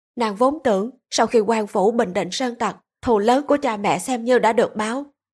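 A natural reading voice with fairly even intonation and a quiet background.

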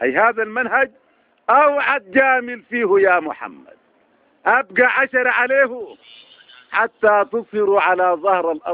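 In a dry, close sound with no echo, a man speaks at a high pitch for a man with lively intonation. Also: moderate pace.

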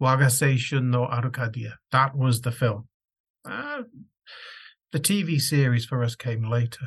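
Long, frequent pauses mark this man's fairly slow delivery. His somewhat breathy voice sits at a medium pitch with fairly even intonation. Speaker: scholar. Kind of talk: recorded tribute reading. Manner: heartfelt.

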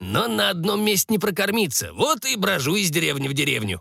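A man does a put-on character voice at a high pitch, raspy and creaky with vocal fry, a bright, sharp tone and big pitch swings. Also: fairly quick pace.

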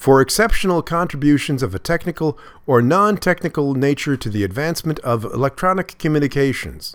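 Against a very clean recording with a silent background, a man's fairly high voice swings very widely in pitch. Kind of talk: news reading. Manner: formal, steady, dense with regulatory wording read clearly.

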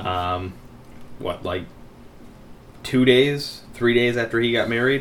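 There's audible room echo as a man speaks with ordinary pitch variation. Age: 20s. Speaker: podcast host. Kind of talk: casual chat.

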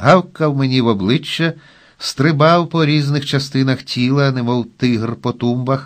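The voice reads naturally. Its pitch shows ordinary variation.

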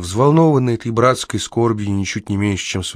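Ordinary pitch variation in a natural reading voice

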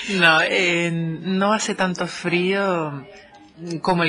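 The speech has fairly even intonation, with music in the background. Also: woman. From Canary Islands, Spain. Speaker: Spanish teacher. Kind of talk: interview.

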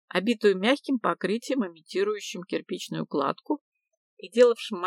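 An unforced reading voice with lively intonation, over a quiet background

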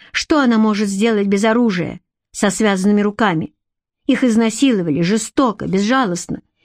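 With a quiet background, the clip carries an unforced reading voice whose pitch varies in an ordinary way.

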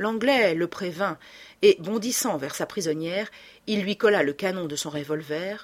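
An unforced reading voice carries the clip.

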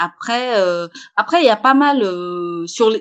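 A woman with a fairly high pitch. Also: quiet background. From Senegal (Saint-Louis). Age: 30s. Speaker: entrepreneur, fashion brand founder. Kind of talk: interview. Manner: halting, many repetitions and fillers. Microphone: poor remote audio quality.

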